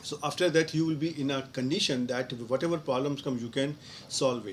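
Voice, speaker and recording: Delivered at a fairly quick pace with fairly even intonation, the speech comes in an Indian accent. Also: man, fairly high pitch for a man. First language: Hindi. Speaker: professor. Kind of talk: live online Q&A lecture. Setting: online live session. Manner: halting, with many fillers.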